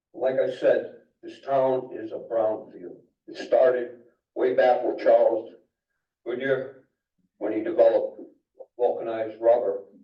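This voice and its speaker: In a room with audible echo, a man with an American accent speaks at a fairly slow pace. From Connecticut, Naugatuck. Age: 70s. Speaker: resident speaking at public hearing. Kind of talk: public comment at town meeting.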